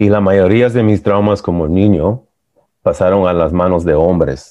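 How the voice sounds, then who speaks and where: A man speaks at a very deep, low pitch. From US, born in El Salvador. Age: 40s. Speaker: men's support group member. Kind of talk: personal testimony.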